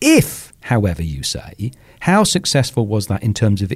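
This man has a plain, everyday voice at a fairly low pitch. He talks at a fairly slow pace with lively intonation. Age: 50s. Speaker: author and podcaster. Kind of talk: casual chat.

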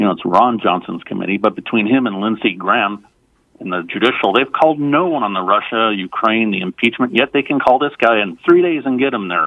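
A man with an unremarkable speaking voice at medium pitch, fairly quick pace and lively intonation. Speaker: caller. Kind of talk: casual political commentary, joking. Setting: phone call.

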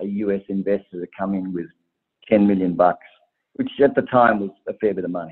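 A man with an Australian accent. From Tasmania, Australia. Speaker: travel startup founder and investor. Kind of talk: podcast interview.

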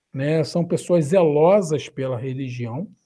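This speaker talks at a very slow pace with a Rio de Janeiro accent, a dark, mellow tone and a somewhat breathy sound. Pitch varies in an ordinary way, and the recording is very clean with a silent background. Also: man. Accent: Rio de Janeiro (carioca). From Brazil, Rio de Janeiro. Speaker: pastor, mission agency director. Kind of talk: interview. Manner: halting.

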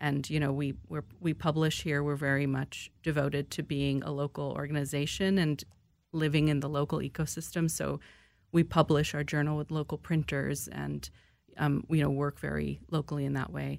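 A woman with a very deep, low pitch talks in a monotone, flat way at a moderate pace. The recording is very clean, with a silent background. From US, moved around. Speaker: arts organization director. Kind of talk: radio interview.

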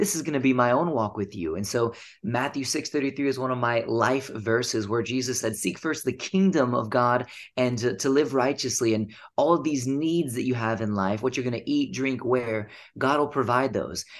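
Against a quiet background, a man talks at a moderate pace at a medium pitch with ordinary pitch variation, in a plain, everyday voice. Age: 30s. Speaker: ninja athlete and author. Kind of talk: interview.

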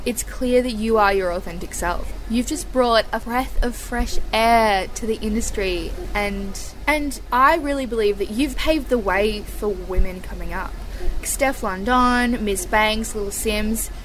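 With music playing behind her, a woman with a fairly high pitch talks at a fairly slow pace and ordinary pitch variation. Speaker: radio host. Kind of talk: casual interview. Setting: backstage, small portable microphone. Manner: enthusiastic.

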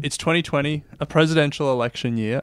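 Very fast speech from a man with an Australian accent and ordinary pitch variation. The recording is very clean, with a silent background. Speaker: podcast host. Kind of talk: scripted narration.

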